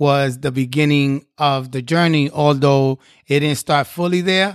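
On a very clean recording with a silent background, a man with a fairly high pitch speaks at a moderate pace with monotone, flat intonation. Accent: New York. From South Bronx, New York City. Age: 50s. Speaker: nonprofit executive. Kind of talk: interview testimony.

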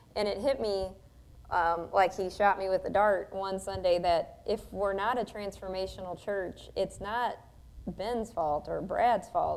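A woman speaks in a normal speaking voice at a medium pitch, fairly slow pace and with fairly even intonation. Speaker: radio host. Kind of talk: casual chat. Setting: church.

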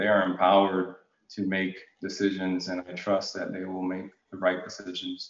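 A man with an American accent speaks at a moderate pace in a very deep, low voice. His intonation stays monotone and flat. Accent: General American with faint Jamaican roots. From Jamaica, then Connecticut. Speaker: utility executive, retired National Guard officer. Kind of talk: interview conversation.

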